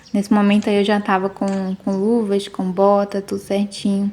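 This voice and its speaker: Over noticeable background noise, a woman talks fairly slowly at a medium pitch with a monotone, flat intonation. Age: 30s. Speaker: vlogger. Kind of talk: casual video narration. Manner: casual, many fillers.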